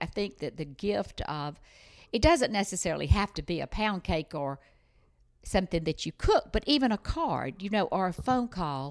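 Speaking at a moderate pace with a Southern US accent, a woman's medium-pitched voice makes very wide pitch swings on a very clean recording with a silent background. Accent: Southern US (Georgia). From US South, Georgia. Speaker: life coach. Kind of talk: interview. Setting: in person at guest's home.

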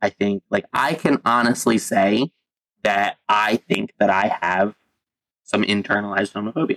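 His is a plain, everyday voice, fairly low for a man, and his pitch varies in an ordinary way. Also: moderate pace, very even loudness. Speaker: podcast host. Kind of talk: casual chat.

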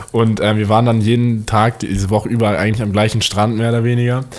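Background noise is noticeable as a man talks at a very fast pace. His intonation stays fairly even. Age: young. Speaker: podcast co-host. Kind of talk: casual chat.

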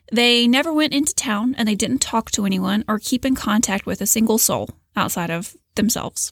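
A woman talks in a somewhat breathy voice with ordinary pitch variation. The sound is dry and close, with no echo. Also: fairly high pitch for a woman, fairly quick pace. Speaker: podcast host. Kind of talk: scripted narration.

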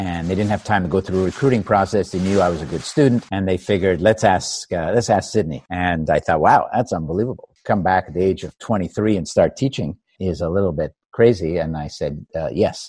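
With a very deep, low pitch, a man talks at a fairly quick pace with ordinary pitch variation and hardly any pauses, in a dry, close sound with no echo. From Canada, Montreal. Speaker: business professor and author. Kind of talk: interview.

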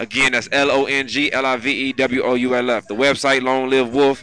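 The speaker has an American accent and talks at a moderate pace with monotone, flat intonation over noticeable background noise. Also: man. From Cleveland, Ohio. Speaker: rapper. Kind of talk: casual interview. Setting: studio grand opening.

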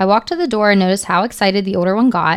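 This woman's voice has a medium pitch and ordinary pitch variation. Her tone is animated. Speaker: co-host storyteller. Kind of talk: creepypasta horror narration read from stories. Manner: animated, laughing.

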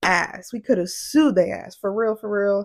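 The intonation is lively and the pace fairly slow. The recording is very clean, with a silent background. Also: woman. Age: 20s. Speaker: podcast host. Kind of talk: casual monologue. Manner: animated.

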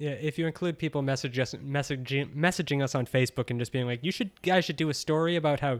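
A man with a normal speaking voice talks at a fairly quick pace and fairly high pitch, with ordinary pitch variation, on a very clean recording with a silent background. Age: 30s. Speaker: satire site editor. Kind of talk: casual chat.

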